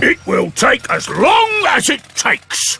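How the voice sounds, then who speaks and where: In a cartoonish character voice, a man talks at a fairly slow pace with an extremely high pitch. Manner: blunt, hearty.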